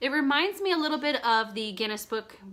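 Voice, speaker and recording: Bright and sharp, a woman's enthusiastic tone comes at a moderate pace with ordinary pitch variation. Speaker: children's book seller. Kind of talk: product showcase video.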